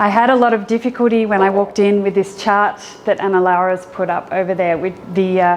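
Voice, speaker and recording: Over noticeable background noise, a woman with an Australian accent talks at a fairly quick pace and medium pitch. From Australia, Sydney. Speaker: educator and app founder. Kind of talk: meetup talk. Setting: meetup audience.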